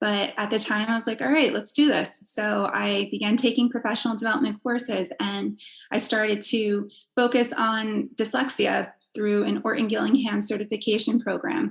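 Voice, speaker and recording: With a slight New Jersey accent, the voice carries vocal fry and ordinary pitch variation. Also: woman, fairly high pitch for a woman, moderate pace. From New Jersey, US. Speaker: assistive technology specialist, former special education teacher. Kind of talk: interview.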